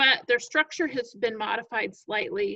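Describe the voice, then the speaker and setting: A raised, projected voice with a bright, sharp tone moves at a fairly slow pace. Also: woman. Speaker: biology teacher. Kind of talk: recorded lecture. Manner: casual with fillers.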